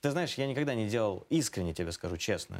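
Very clean audio with a silent background, carrying a man's fairly low-pitched speech. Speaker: organization director. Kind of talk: interview. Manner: hesitant.

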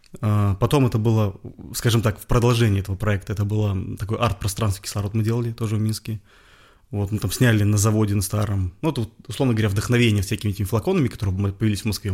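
Recorded very cleanly against a silent background, a man speaks at a very fast pace. His voice is fairly low and somewhat breathy, with fairly even intonation. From Belarus, Bobruisk. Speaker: clothing brand founder. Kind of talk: interview.

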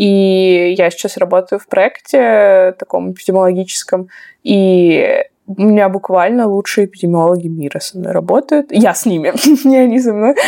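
A woman's dark, mellow voice shows big swings in loudness along with ordinary pitch variation. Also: medium pitch for a woman, moderate pace. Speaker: graduate student. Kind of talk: casual interview.

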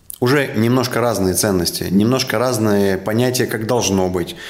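In a room with audible echo, a man speaks in a calm tone at a medium pitch with ordinary pitch variation. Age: young. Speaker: business association leader. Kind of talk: interview.

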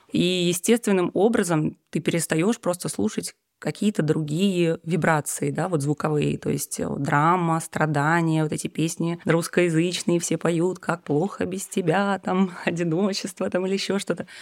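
A woman's normal speaking voice, fairly low in pitch, at a fairly slow pace with hardly any pauses, dry, close sound with no echo, very clean recording, silent background. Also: ordinary pitch variation. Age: 30s. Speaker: musician and yoga teacher. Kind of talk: casual chat.

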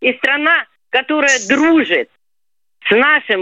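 Against a quiet background, the voice moves at a very slow pace with lively intonation and a bright, sharp tone. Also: woman. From southern Russia, Rostov region / Kuban. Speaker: radio caller. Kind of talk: radio phone-in call.

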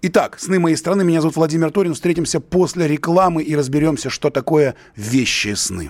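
A man with a fairly high pitch has a plain, everyday voice and ordinary pitch variation. He speaks at a moderate pace in a dry, close sound with no echo. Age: 50s. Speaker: radio host and writer. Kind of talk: radio call-in show.

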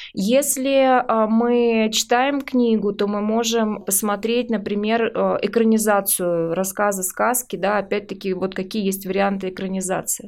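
This woman has a plain, everyday voice at a medium pitch. She speaks at a fairly slow pace with fairly even intonation. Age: 40s. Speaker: psychologist and teacher. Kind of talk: expert interview. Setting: studio.

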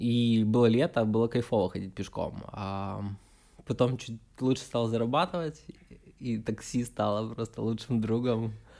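Speaking fairly slowly with long, frequent pauses, a man has a dark, mellow tone and fairly even intonation. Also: medium pitch for a man. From Ukraine, Odesa. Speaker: digital agency project manager. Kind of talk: casual chat.

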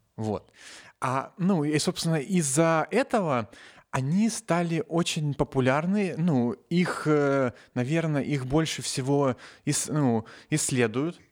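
A man speaks very slowly with a fairly high pitch, lively intonation and very even loudness. He leaves long, frequent pauses, and the recording is very clean with a silent background. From Novosibirsk, Russia. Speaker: nanotechnologist, science popularizer. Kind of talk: casual chat. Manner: halting, many fillers.

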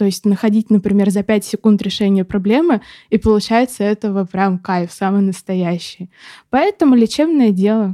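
Speaking at a moderate pace in a medium pitch with a dark, mellow tone, a woman shows ordinary pitch variation and very even loudness on a very clean, dry, close recording with a silent background and no echo. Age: 20s. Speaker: paramedic student. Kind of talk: casual chat. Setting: studio.

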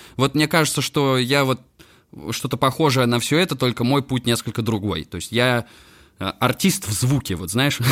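Recorded with a dry, close sound and no echo, a man of medium pitch talks at a moderate pace, with ordinary pitch variation and long, frequent pauses. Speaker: electronic musician and sound designer. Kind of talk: casual interview chat. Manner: relaxed.

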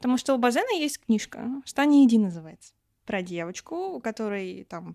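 The sound is dry and close with no echo, on a very clean recording with a silent background. A woman with a fairly high pitch talks at a moderate pace, her pitch swinging very widely. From Russia, rural village. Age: 20s. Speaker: foreign language teacher. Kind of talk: casual chat. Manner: animated.

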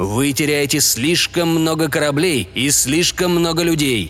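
There is noticeable background noise behind this man. He talks fairly slowly, at a fairly high pitch. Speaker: audiobook narrator. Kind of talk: sci-fi audiobook reading, scripted narration of a story.

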